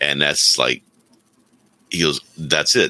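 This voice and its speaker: A man speaks in a bright, sharp tone with vocal fry. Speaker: remote co-host. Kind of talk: casual chat. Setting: video call.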